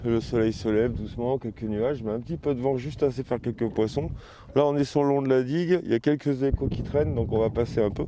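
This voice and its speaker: An unremarkable speaking voice at a fairly quick pace. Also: man. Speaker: fishing video host. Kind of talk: outdoor vlog commentary.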